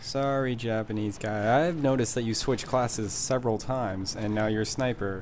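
A man with an American accent speaks in a deadpan tone at a medium pitch, with noticeable background noise. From US. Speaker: gaming commentator. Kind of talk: stand-up style comedic gaming commentary with jokes and riffs over gameplay. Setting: recorded voiceover over video game footage. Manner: deadpan, sarcastic, quick-witted joke delivery; animated, mock-enraged.

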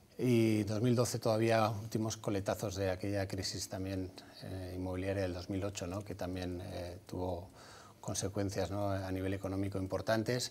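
At a moderate pace, a man speaks in a fairly low, somewhat breathy voice with monotone, flat intonation. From Basque Country, Vitoria. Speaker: former footballer and clinic entrepreneur. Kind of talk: TV interview. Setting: TV studio. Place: studio. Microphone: lapel.

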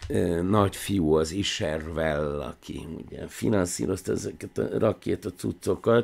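A man's very deep, low voice with vocal fry, a fairly slow pace, lively intonation and hardly any pauses. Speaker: film analysis show host. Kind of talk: monologue commentary. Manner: animated; tense, almost angry. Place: office. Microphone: studio mic.

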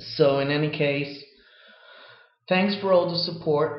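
Here a man talks at a fairly slow pace with fairly even intonation. The background is quiet, though the room echo is audible. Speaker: video blogger. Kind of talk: casual chat. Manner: halting. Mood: earnest, defiant, relaxed delivery. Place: home room. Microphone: webcam.

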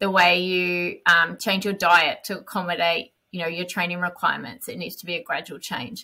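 With an Australian accent, a woman speaks at a moderate pace with hardly any pauses, her fairly low pitch bright and sharp in tone, with fairly even intonation. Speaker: elite marathon runner. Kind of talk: casual chat. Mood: reflective, calm. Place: home room. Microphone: headset.

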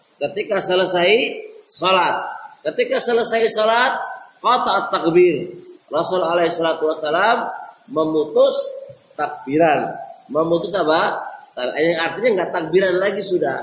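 In a room with audible echo, a man speaks at a fairly slow pace in a high pitch with ordinary pitch variation. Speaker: Islamic teacher. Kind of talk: lecture. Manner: didactic, repeats phrases. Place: empty room. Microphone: camera far.

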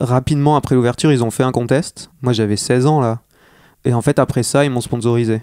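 A man with a normal speaking voice talks at a moderate pace and medium pitch with fairly even intonation, in a dry, close sound with no echo on a very clean recording with a silent background. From northern France (Armentières, Nord). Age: young. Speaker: skater and illustrator. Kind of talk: casual interview chat. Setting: home recording.

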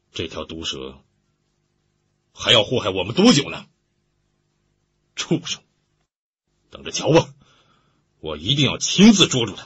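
Using a put-on character voice, a man sounds angry and raspy at medium pitch, talking at a moderate pace with big swings in loudness and long, frequent pauses. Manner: angry, through gritted teeth.

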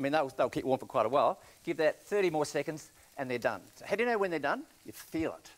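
A man with an Australian accent talks very fast at a fairly high pitch. His intonation is lively, and his loudness swings widely. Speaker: chef. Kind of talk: cooking demonstration. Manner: casual, enthusiastic. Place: studio. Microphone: lapel.

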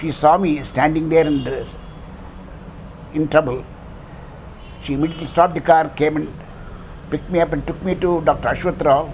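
Over light background noise, a man with a fairly high pitch speaks fairly quickly in a monotone, flat intonation, with long, frequent pauses. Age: old. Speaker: senior citizen endorsing a candidate. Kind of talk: political endorsement testimonial. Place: home room. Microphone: lapel.

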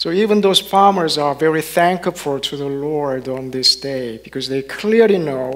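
The man's pitch is fairly high. His pitch varies in an ordinary way. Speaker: minister giving a sermon. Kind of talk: sermon to a congregation. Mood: warm, gentle. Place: church. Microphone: headset.

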